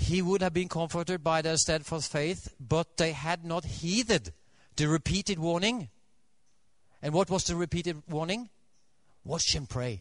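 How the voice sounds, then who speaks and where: Over a quiet background, a man with a Norwegian accent speaks at a moderate pace, pausing long and often. His pitch is high, with ordinary variation. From Norway. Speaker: Adventist preacher. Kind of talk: sermon. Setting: church. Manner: halting, with many fillers.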